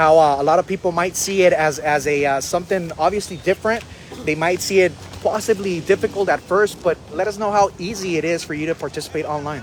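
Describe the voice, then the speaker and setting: With music in the background, a man with a high pitch talks at a very fast pace. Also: ordinary pitch variation. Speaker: auction host / auctioneer. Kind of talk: auction preview presentation, live-stream host talk. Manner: upbeat, energetic, friendly.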